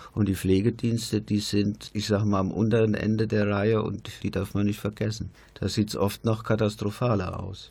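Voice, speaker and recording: A man's dark, mellow, somewhat breathy voice, fairly low and monotone, at a moderate pace with hardly any pauses. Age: 60s. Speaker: retired nurse. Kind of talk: radio panel discussion. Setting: studio.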